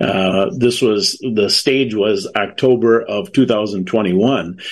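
The speaker is a man with an American accent. His medium pitch shows ordinary pitch variation. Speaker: bereaved father and advocate. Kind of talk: interview. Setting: video call.

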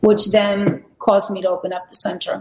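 A somewhat breathy woman's voice at medium pitch, with ordinary pitch variation and a moderate pace. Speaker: wellness center operator. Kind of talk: presentation with testimonies. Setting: video call from outdoor balcony.

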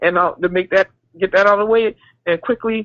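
A woman with an American accent speaks at a medium pitch, with ordinary pitch variation. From South Carolina. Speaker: caller. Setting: phone call. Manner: halting.

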